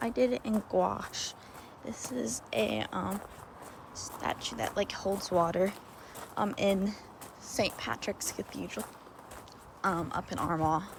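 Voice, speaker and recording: A woman with an American accent at a fairly low pitch, very slow pace, very wide pitch swings, and long, frequent pauses, over noticeable background noise. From Texas. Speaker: art student vlogger. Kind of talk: casual vlog. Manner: casual, filler-heavy.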